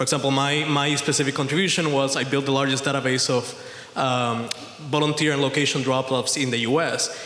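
A man talks with fairly even intonation. Room echo is audible around him. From Puerto Rico. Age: 30s. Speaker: audience member. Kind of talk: audience question. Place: hall.

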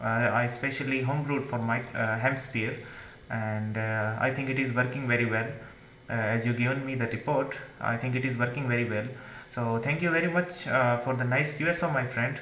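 A man speaks with audible room echo. Light background noise is present. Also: fairly even intonation, fairly quick pace. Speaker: amateur radio operator. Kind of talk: radio contact exchange. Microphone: handheld.

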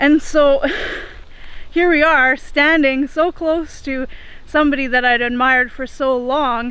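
With a raised, projected voice, a woman speaks at a moderate pace with fairly even intonation, recorded dry with no echo. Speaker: travel vlogger. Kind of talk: casual vlog chat. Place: open country. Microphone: phone near.

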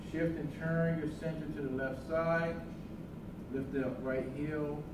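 The recording has audible room echo along with noticeable background noise. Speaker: tai chi instructor. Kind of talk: tutorial. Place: hall. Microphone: camera far.

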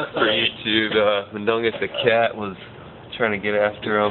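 Over noticeable background noise, a man speaks at a moderate pace in a monotone, flat delivery. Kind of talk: casual talk to camera. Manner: playful, affectionate, coaxing. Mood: excited, a bit intoxicated. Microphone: phone near.

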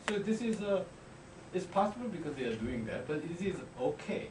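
A man talks at a fairly quick pace in a high pitch. His voice makes very wide pitch swings over noticeable background noise. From South Korea. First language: Korean. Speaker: diplomat. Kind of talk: audience question. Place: classroom.

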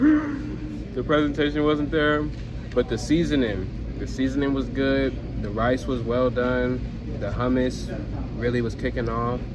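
Noticeable background noise behind a man speaking at a fairly slow pace. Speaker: food reviewer. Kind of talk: casual vlog chat. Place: home room. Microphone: phone near.

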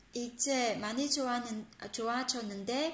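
In a room with audible echo, a woman speaks. Her pitch is high, with ordinary pitch variation. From Vietnam. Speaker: Korean language teacher on a video channel; Korean language teacher. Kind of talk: language lesson tutorial. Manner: hesitant, many fillers. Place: home room. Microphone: phone near.

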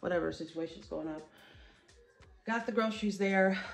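A woman's fairly low voice at a very fast pace, with ordinary pitch variation and faint background music. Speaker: home vlogger. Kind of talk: casual vlog chat. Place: home room. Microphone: phone near.

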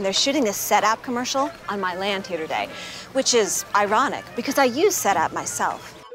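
Clear music plays behind a woman with lively intonation. The sound is dry, with no echo. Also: moderate pace. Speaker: actress. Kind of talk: TV commercial read. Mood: relaxed, pleased. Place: garden.

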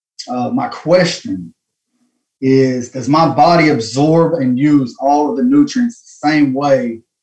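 Lively intonation marks this man's fairly high-pitched voice in a Southern US accent. The background is quiet. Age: 30s. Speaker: caller. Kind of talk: call-in question. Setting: phone call. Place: home room. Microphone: video call.

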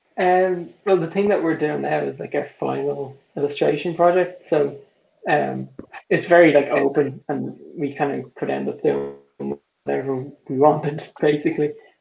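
Noticeable background noise accompanies this man's voice. He speaks with a Dublin accent at a moderate pace. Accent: Dublin Irish. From Ireland. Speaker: artist and illustrator, college student. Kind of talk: casual interview chat. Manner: hesitant, filler-heavy. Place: home room. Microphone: video call.

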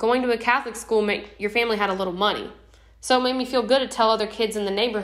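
The voice reads aloud naturally, keeping its intonation fairly even.

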